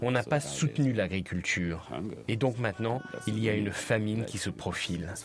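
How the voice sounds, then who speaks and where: With lively intonation and a moderate pace, a man's fairly low voice carries through noticeable background noise. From Senegal, Dakar. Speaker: chef. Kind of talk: interview.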